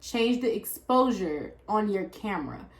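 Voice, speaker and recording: Ordinary pitch variation in a woman's speech. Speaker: YouTuber. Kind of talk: tutorial. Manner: loud, projected voice; casual, uses fillers.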